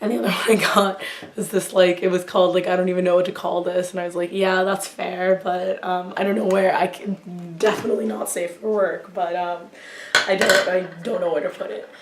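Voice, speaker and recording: A woman talks with an American accent at a medium pitch. Noticeable background noise can be heard. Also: fairly even intonation. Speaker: YouTuber. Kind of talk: casual haul review monologue. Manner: halting, many fillers.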